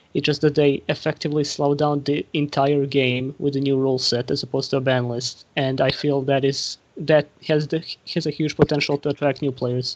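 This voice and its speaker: A man with a non-native accent, fairly high in pitch, fairly quick in pace, with monotone, flat intonation. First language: not English. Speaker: Yu-Gi-Oh YouTuber on a panel. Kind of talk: casual panel discussion. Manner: halting.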